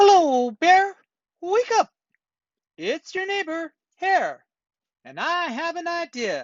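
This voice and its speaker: A put-on character voice at an extremely high pitch moves at a fairly slow pace with long, frequent pauses. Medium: read story. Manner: friendly, smooth-talking.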